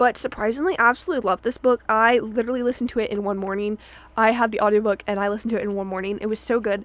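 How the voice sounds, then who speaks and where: A woman rattles along at a very fast pace in a fairly high pitch. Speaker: book video creator. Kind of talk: casual book review monologue. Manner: animated.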